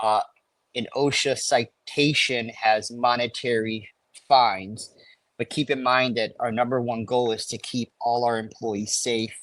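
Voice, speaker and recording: Dry and close with no echo, a man with an American accent speaks at a medium pitch in a monotone, flat intonation. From Chicago. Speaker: safety consultant. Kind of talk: live webinar Q&A. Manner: fast.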